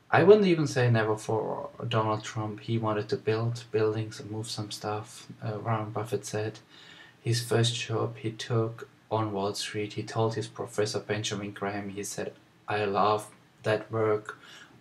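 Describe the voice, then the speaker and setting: At a fairly slow pace, a man speaks in a fairly low pitch with monotone, flat intonation. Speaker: vlogger. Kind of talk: casual vlog chat. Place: home room. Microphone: webcam.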